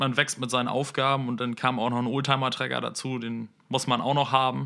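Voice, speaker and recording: The man talks at a fairly quick pace, with a medium pitch and a bright, sharp tone. His intonation is monotone and flat. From northern Germany, Lüneburg district, Lower Saxony. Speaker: vehicle mechatronics apprentice. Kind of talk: interview.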